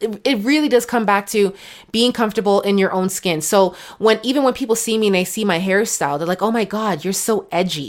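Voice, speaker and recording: A woman's animated voice with a Canadian accent, medium in pitch with ordinary variation, at a fairly quick pace. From Canada, raised from age two. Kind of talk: casual interview chat.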